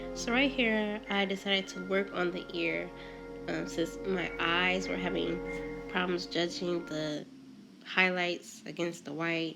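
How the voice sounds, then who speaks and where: Music can be heard behind the speech. A woman talks fairly slowly. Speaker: painter. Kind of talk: tutorial voice-over. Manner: casual.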